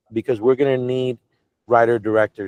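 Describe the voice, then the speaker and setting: With an American accent, this man rattles through his words very fast. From Cuban American. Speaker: media company executive interviewing a director. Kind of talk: casual video call interview. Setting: video call.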